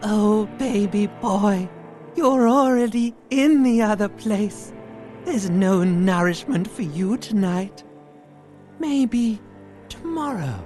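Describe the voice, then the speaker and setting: A female-sounding put-on character voice at a very slow pace, with clear music in the background. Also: medium pitch for a woman. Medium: game stream. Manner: slow, intimate, drawling.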